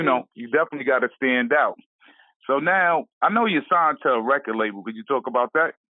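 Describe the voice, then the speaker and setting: A man with a plain, everyday voice speaks at a fairly quick pace. His pitch is fairly high, and his intonation is lively. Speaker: radio interviewer. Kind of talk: interview questions.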